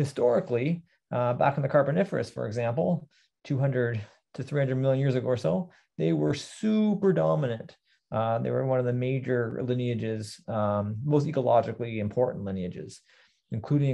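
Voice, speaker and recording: With a Canadian accent, a man speaks at a moderate pace using lively intonation. The background is quiet. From Southern Ontario, Canada. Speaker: botany lecturer. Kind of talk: lecture. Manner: halting, many fillers. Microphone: webcam.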